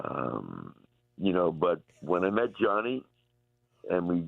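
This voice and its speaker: This man talks at a fairly slow pace. He has a New York accent. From US Northeast, Long Island, New York. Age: 70s. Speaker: rock musician. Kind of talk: radio interview. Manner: halting.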